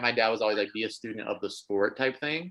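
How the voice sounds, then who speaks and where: A man with a plain, everyday voice talks fairly quickly, his pitch rising and falling in an ordinary way. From US South, North Carolina. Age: 20s. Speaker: air force member and crossfit athlete. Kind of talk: casual chat. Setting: podcast interview.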